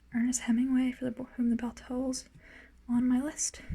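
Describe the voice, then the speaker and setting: Soft-spoken and high-pitched, a woman talks at a moderate pace. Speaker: ASMR creator, beginner. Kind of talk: ASMR book collection tour.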